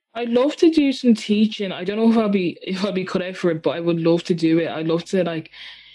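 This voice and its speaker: Very fast and with hardly any pauses, a woman speaks in a dark, mellow tone with lively intonation and an Irish accent. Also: medium pitch for a woman. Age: 20s. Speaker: singer-songwriter. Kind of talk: casual interview.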